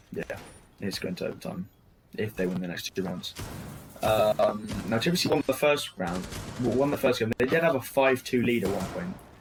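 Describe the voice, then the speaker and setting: A man of medium pitch at a moderate pace, with very wide pitch swings, long, frequent pauses and music in the background. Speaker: esports caster. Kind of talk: live commentary. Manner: halting, many fillers.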